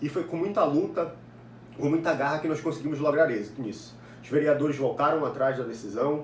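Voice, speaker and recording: Fairly quick speech from a man with a fairly high pitch, ordinary pitch variation and audible room echo. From Brazil, Ananindeua, Pará (northern Brazil). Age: 20s. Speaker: political activist and university student. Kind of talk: interview answers, monologue.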